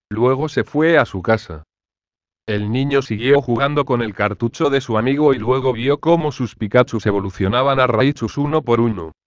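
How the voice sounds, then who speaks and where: An ordinary speaking voice from a man at medium pitch and a moderate pace. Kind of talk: ghost story telling (creepypasta narration). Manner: flat, matter-of-fact storyteller's delivery.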